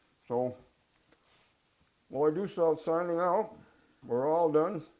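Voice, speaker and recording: Very slow in pace, a man speaks with a fairly high pitch, ordinary pitch variation and a dark, mellow tone. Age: 80s+. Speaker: home cooking vlogger. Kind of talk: cooking tutorial. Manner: casual, folksy.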